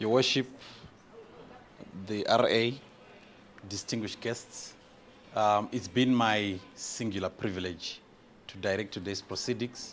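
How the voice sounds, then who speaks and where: At a fairly slow pace with long, frequent pauses, a man speaks with a non-native accent. His pitch is fairly low and his intonation fairly even. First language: not English. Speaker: master of ceremonies. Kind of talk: ceremony speech.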